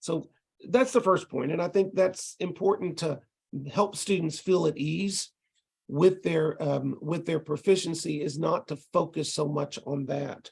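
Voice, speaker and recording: Slow-paced and high-pitched, a man talks in a Texas accent with ordinary pitch variation. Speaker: ESL college instructor. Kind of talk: lecture. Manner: casual, with frequent hesitations.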